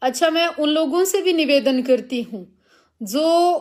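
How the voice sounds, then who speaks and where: A very clean recording against a silent background, the pitch varying in an ordinary way. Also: woman. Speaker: religious preacher and activist. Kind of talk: live stream rant. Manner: confrontational.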